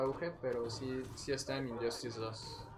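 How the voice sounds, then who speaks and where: With a Mexican accent, a man speaks amid noticeable background noise and audible room echo. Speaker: gaming streamer. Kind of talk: casual chat.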